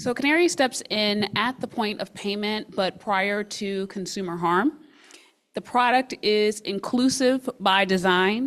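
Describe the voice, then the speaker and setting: A woman's intonation is lively. Noticeable background noise runs underneath her. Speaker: fintech product builder presenting. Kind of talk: pitch presentation and Q&A.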